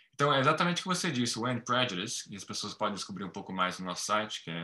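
A man talks at a very fast pace in a bright, sharp tone. His pitch swings very widely. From Brazil. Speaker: market analyst and nonprofit president. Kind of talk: interview.

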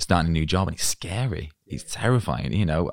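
A man with vocal fry, in a dry, close sound with no echo. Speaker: podcast host. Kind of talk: interview.

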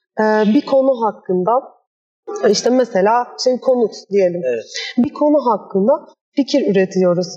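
Speaking at a moderate pace, a woman uses a fairly high pitch and lively intonation, with very even loudness and long, frequent pauses. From Istanbul, Turkey. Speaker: architect and workshop founder. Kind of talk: interview. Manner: hesitant, many fillers.

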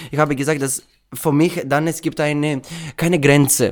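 A man speaks with a Greek accent. His pace is fairly slow. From Greece. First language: Greek (speaking German). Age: 20s. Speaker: drag queen. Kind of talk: interview. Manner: halting.

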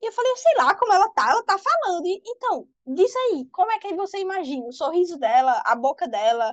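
A woman at a moderate pace with very wide pitch swings, in a dry, close sound with no echo. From Brazil, Pernambuco (Recife), born in Ceará. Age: 20s. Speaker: fan fiction author. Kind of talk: casual interview chat.

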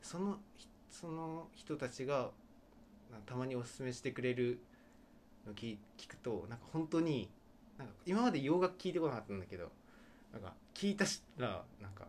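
Speaking at a medium pitch and moderate pace, a man makes very wide pitch swings and big swings in loudness. His speech has long, frequent pauses. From Okinawa, Japan. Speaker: radio show co-host. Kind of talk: casual chat.

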